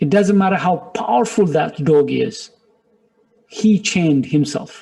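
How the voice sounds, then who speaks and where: A man with a non-native accent talks at a fairly slow pace in a high voice, with lively intonation and very even loudness. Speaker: business director and motivational speaker. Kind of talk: motivational webinar talk. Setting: webinar. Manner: animated.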